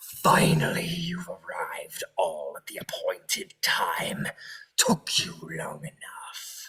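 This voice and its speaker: A man puts on a character voice with a growl. He delivers it at a very slow pace. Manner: cold, malicious, impatient.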